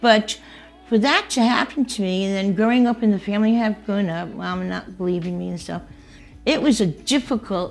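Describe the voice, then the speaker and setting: Over music in the background, a woman with a New York accent talks at a fairly quick pace, medium in pitch with ordinary pitch variation. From New York City, Queens and Long Island. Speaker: interviewee telling life story. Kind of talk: casual interview.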